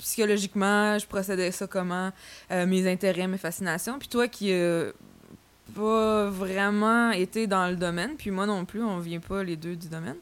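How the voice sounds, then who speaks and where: On a very clean recording with a silent background, a woman with a Quebec accent speaks at a fairly slow pace, her medium pitch held in fairly even intonation. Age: 20s. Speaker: podcast host and funeral professional. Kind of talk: casual chat.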